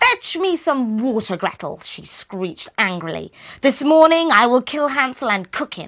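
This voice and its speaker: Put-on character voice from a woman, high-pitched and shrill, at a moderate pace. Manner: angry, bullying.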